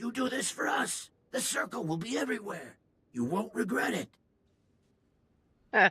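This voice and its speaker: Putting on a raspy character voice with a high pitch, a man talks at a moderate pace with long, frequent pauses. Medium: video game. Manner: excitable, slangy.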